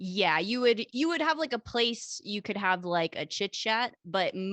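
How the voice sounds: This natural reading voice has lively intonation.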